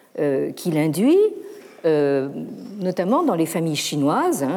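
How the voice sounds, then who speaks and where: Her tone is dark and mellow. The pitch of this woman's voice moves through very wide swings. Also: very clean recording, silent background. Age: old. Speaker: professor. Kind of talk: lecture. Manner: hesitant, many fillers and repetitions.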